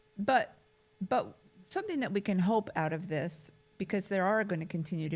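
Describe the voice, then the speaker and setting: Somewhat breathy, a woman with a fairly low pitch speaks at a moderate pace with ordinary pitch variation. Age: 60s. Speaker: care administrator. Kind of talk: casual chat.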